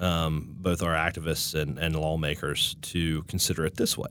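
The tone is bright and sharp, with an Appalachian accent. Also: man. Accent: Appalachian American. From West Virginia. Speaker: state director of a political advocacy group. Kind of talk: interview.

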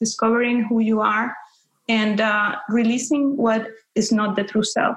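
Speaking with a Spanish accent, a woman with a fairly high, somewhat breathy voice talks at a moderate pace amid audible room echo. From Peru. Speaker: spiritual teacher. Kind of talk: interview. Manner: halting with fillers.

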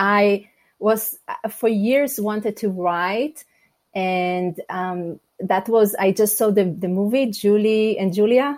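In an Israeli accent, a woman speaks very slowly at a medium pitch with ordinary pitch variation, in a very clean recording with a silent background. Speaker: life coach and speaker. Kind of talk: interview. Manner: direct.

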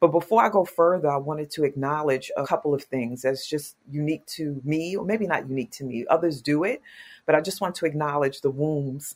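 Speaking at a fairly quick pace, this voice has an American accent and ordinary pitch variation. The recording is very clean, with a silent background. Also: woman. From New York, Queens. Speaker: social worker and nonprofit leader. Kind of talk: interview.

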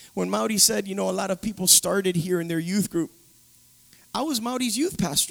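A man speaks at a fairly quick pace in a high voice, with lively intonation and an animated tone. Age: 40s. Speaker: pastor. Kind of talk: sermon. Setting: church.

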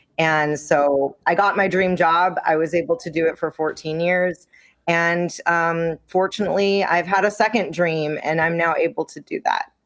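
In an unremarkable speaking voice, the speaker keeps a moderate pace with fairly even intonation and hardly any pauses, on a very clean recording with a silent background. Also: woman, fairly low pitch for a woman. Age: 30s. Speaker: intimacy coach, former prosecutor. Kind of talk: interview.

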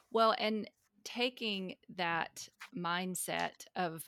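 Very clean with a silent background and a dry, close sound with no echo, the recording captures a woman of fairly low pitch with a bright, sharp tone and ordinary pitch variation. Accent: Southern US. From US South. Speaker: podcast host, unschooling advocate. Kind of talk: interview conversation.

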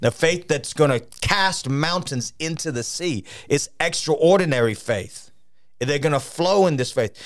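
Fairly high-pitched for a man, this speaker has an animated tone and lively intonation, moving at a fairly slow pace. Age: 50s. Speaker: traveling revival preacher. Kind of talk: studio interview about ministry and revival. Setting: studio.

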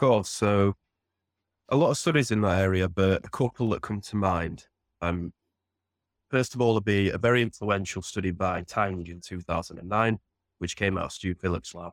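A man with a Yorkshire accent speaks at a moderate pace in a fairly low pitch, using ordinary pitch variation and long, frequent pauses in a dry, close sound with no echo. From northern England, Sheffield. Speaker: protein researcher. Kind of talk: interview.

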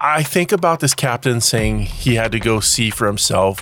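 Speaking at an unhurried, middling speed, a man comes through with clear noise in the background. His voice sits mid-range and rises and falls in a normal way. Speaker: history podcast host. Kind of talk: scripted narration. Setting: home studio.

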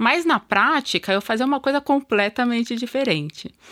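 The recording is very clean with a silent background, and the voice has a bright, sharp tone. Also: woman. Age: 40s. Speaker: procurement manager. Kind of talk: interview. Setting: studio.

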